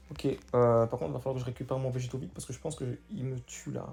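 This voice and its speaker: A man speaks very fast in a medium pitch, with vocal fry and a dark, mellow tone. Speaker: gaming youtuber. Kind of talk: gameplay commentary.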